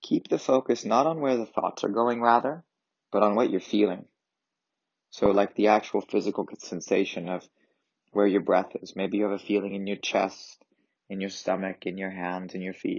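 Speaking at a moderate pace, a man has fairly low pitch and ordinary pitch variation. His is an unremarkable speaking voice. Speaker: yoga and meditation teacher. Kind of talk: guided meditation. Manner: gentle and reassuring.

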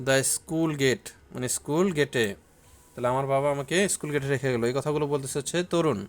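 In an ordinary speaking voice, a man talks at a fairly high pitch with ordinary pitch variation. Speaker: teacher. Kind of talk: tutorial.

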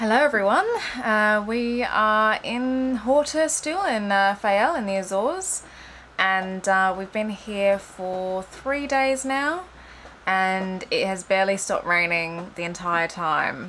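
At a slow pace, a woman with a medium pitch and a fairly bright tone talks with ordinary pitch variation over faint background noise.

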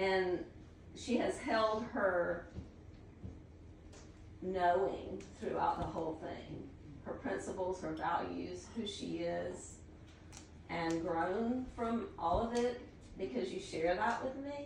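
Slow speech with vocal fry, long and frequent pauses, and audible room echo. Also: woman, fairly low pitch for a woman, ordinary pitch variation.

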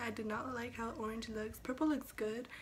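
The speech moves at a moderate pace with monotone, flat intonation. Light background noise can be heard. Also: woman. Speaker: video blogger. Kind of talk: casual vlog. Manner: casual, rambling. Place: home room. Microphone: phone near.

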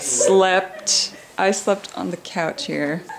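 At a very slow pace, a woman with a fairly low pitch and vocal fry keeps her intonation fairly even over faint background noise.

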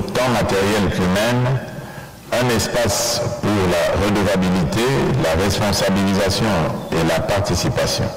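Over clear music in the background and audible room echo, a man speaks at a fairly slow pace with ordinary pitch variation. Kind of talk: formal prepared speech. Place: hall. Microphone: podium.

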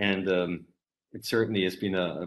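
Talking at a very fast pace, a man uses a fairly low pitch. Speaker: guest lecturer. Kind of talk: lecture, personal story. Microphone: video call.

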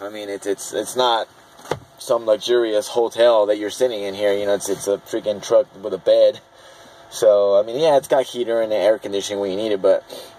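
A man with an unremarkable speaking voice talks at a fairly low pitch with fairly even intonation, in a dry sound with no echo and light background noise. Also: fairly quick pace. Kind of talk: casual vlog chat. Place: car. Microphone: phone near.

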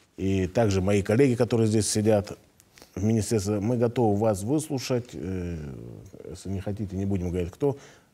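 Dark, mellow tone at a moderate pace. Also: man. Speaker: regional health minister. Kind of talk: live TV call-in Q&A. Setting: TV studio. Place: studio. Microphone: lapel.

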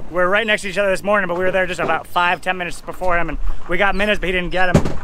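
A man talks very fast with fairly even intonation in a dry sound with no echo. Noticeable background noise is present. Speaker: fishing vlogger. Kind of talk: casual vlog chat. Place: boat. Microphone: phone near.

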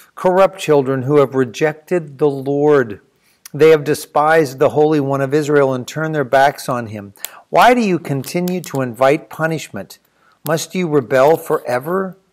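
The man's pitch varies in an ordinary way as he talks at a moderate speed. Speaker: church teacher. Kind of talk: scripture reading with commentary. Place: home room. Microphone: webcam.

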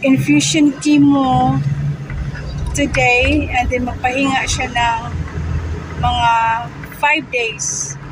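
Speaking very slowly with long, frequent pauses, a woman is heard over noticeable background noise. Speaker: vlogger. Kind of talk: casual vlog chat. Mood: thankful, updating on mother's chemo. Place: car. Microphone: phone near.

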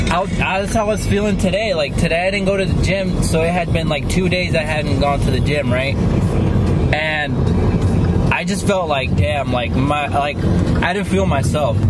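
A man at a moderate pace, with long, frequent pauses and loud background noise. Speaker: vlogger. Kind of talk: casual vlog chat. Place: car. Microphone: phone near.

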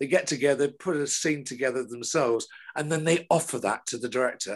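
A man with a British accent talks at a fairly quick pace in a fairly high voice. The background is quiet. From England. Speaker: television director. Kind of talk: casual chat. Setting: video call. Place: home room. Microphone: video call.

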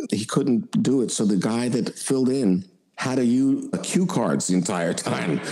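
In a normal speaking voice, a man talks at a medium pitch and a moderate pace. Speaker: voice actor. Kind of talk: interview answer. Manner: casual, anecdotal.

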